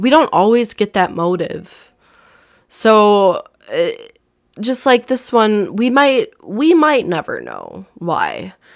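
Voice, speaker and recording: Speaking very slowly in an Upper Midwest accent, a woman is heard on a very clean recording with a silent background. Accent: Upper Midwest American. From southern Wisconsin. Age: 20s. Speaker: true crime podcaster. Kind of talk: casual narration of a true crime case. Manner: casual, with many fillers.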